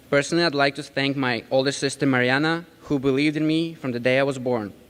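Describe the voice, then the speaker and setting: A man talks at a very fast pace with a slight Ukrainian accent. His pitch is fairly high. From Ukraine. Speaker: community college graduate, commencement speaker. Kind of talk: commencement speech. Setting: stage at graduation ceremony with audience. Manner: rousing, animated.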